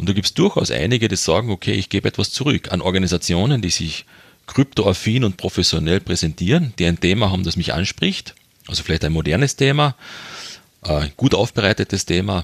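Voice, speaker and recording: A man's very deep, low voice with lively intonation and a fairly quick pace, dry and close with no echo. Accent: slight Carinthian. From Austria, Carinthia. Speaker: development aid worker and fundraiser. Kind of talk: interview.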